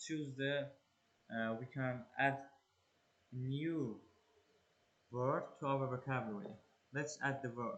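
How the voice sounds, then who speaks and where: Here a man speaks with a non-native accent. His voice is fairly high in pitch. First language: not English. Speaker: English learner and exam-prep tutor. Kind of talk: tutorial. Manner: halting, many fillers.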